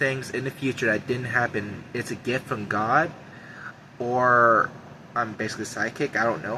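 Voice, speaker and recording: A man speaks at a medium pitch. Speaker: YouTuber sharing prophetic visions. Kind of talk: personal monologue to camera. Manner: shaky voice.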